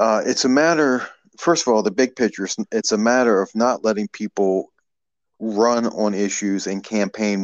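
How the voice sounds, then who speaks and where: With an American accent, a man speaks in a normal speaking voice, fairly low in pitch with ordinary pitch variation, at a moderate pace, in a dry, close sound with no echo and a quiet background. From Maryland. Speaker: political activist, grassroots group director. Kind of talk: casual interview.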